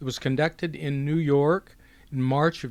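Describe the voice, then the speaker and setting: On a very clean recording with a silent background, a man with a fairly high pitch and an unremarkable speaking voice speaks at a moderate pace with fairly even intonation. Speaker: journalist interviewer. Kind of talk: archive introduction narration.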